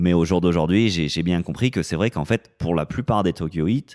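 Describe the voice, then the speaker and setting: This man's very deep, low voice has a dark, mellow tone and ordinary pitch variation. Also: very clean recording, silent background. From France, Grenoble. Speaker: personal trainer and gym owner. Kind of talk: casual interview chat.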